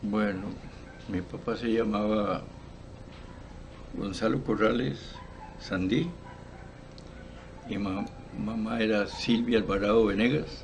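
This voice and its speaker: A fairly low-pitched man at a very slow pace, with long, frequent pauses, ordinary pitch variation, and audible room echo. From Costa Rica, Esparza (Puntarenas). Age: 80s+. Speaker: retired football coach. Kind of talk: interview. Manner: halting, with frequent repetitions.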